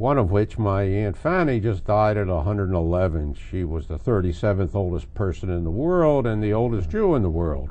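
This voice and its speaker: With lively intonation and hardly any pauses, a man talks at a fairly quick pace in a fairly low-pitched, dark, mellow tone. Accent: Philadelphia. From Philadelphia area, Pennsylvania. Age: 80s+. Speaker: local history interviewee. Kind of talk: oral history interview. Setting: basement studio.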